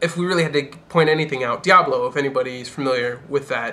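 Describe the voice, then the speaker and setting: A man with a fairly high voice talks rather quickly, his pitch moving in a normal way, while noticeable noise fills the background. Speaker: gaming youtuber. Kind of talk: casual commentary video. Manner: fast; animated.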